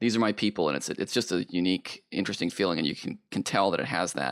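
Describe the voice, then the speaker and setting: A man talks at a fairly quick pace with vocal fry. The recording is very clean, with a silent background. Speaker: podcast host. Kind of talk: podcast interview.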